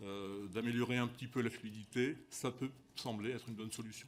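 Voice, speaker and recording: At medium pitch, a man speaks with fairly even intonation. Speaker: company executive testifying at parliamentary hearing. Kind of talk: formal testimony at parliamentary commission hearing. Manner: fast; halting, frequent repetitions.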